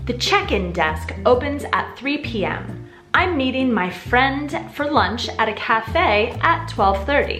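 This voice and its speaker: With music in the background, someone talks at a fairly slow pace in an American accent. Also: woman. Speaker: English teacher. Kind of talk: English lesson narration. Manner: slow, clear.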